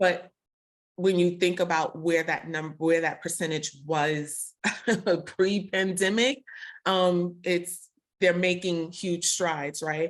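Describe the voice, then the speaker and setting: Speaking at a very slow pace with a Brooklyn accent, a woman keeps a fairly even intonation on a very clean recording with a silent background. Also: fairly low pitch for a woman. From Brooklyn, New York. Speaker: podcast host. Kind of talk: casual interview conversation.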